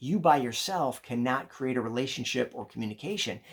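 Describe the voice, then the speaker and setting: A man speaks in an energetic tone with lively intonation and a fairly high pitch. The recording is very clean, with a silent background. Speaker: leadership coach. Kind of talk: vlog-style talk on leadership. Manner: fast.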